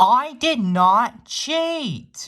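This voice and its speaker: A put-on character voice with fairly high pitch. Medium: machinima. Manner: defensive.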